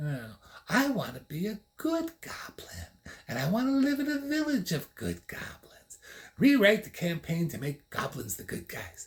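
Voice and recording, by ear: A man's put-on character voice, high in pitch with a slightly husky edge, very wide pitch swings and a fairly slow pace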